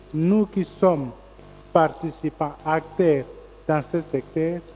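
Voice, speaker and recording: A man speaks at a very slow pace with a fairly high pitch. His intonation stays fairly even. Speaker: media federation representative. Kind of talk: press conference closing remarks. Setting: conference room with audience, streamed online.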